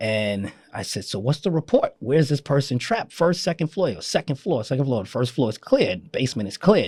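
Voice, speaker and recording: A man with a New York accent, fairly high-pitched and somewhat breathy, very fast with hardly any pauses and very wide pitch swings, in a dry, close sound with no echo. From Queens, New York. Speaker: fire commissioner. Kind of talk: interview answer. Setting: studio.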